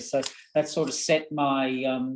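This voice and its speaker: Speaking with an Australian accent, a man has a fairly high pitch, a dark, mellow tone and ordinary pitch variation. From Australia, rural Victoria (Castlemaine area). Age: 60s. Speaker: horse breeding executive, former stablehand. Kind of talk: webinar panel interview.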